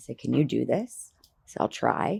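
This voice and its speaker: Recorded very cleanly with a silent background and a dry, close sound with no echo, the voice has vocal fry and moves at a moderate pace. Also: woman. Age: 40s. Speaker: florist and flower farmer. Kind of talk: interview. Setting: outdoors on a flower farm.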